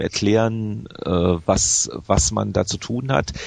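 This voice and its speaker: Pitch moves with ordinary variation in an unremarkable speaking voice. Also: man. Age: 40s. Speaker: video game magazine editor. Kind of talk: interview.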